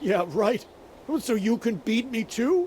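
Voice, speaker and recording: In a put-on character voice, a man whines at an extremely high pitch with very wide pitch swings and a whiny tone. He talks at a fairly slow pace over clear background noise. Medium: video game. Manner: whiny, frightened.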